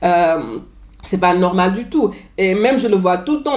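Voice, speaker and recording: A woman with ordinary pitch variation, amid noticeable background noise. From New York, US. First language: English (speaking French). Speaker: vlogger. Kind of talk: casual vlog monologue. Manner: halting, with filler and repetitions.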